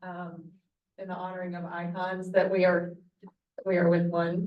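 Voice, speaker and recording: Speaking fairly slowly with an Alabama accent, a woman keeps a medium pitch and a monotone, flat intonation. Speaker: guest curator and moderator. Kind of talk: moderated discussion. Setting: hybrid event with room audience and Zoom.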